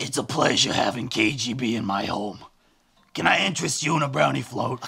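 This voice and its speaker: A man puts on a raspy character voice at medium pitch with lively intonation. He delivers it at a fairly quick pace. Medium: comedy sketch. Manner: evasive, abrupt.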